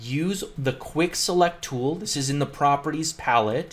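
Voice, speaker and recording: A man's fairly high voice, an ordinary speaking voice, at a moderate pace with ordinary pitch variation. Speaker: CAD team lead training staff. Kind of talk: screen-recorded software tutorial. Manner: casual, filler-heavy.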